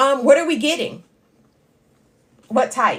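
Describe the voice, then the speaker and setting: A woman speaks loud, in an animated tone. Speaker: livestream host and part-time college instructor. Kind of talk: casual live-stream chat with viewers. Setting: TikTok live stream.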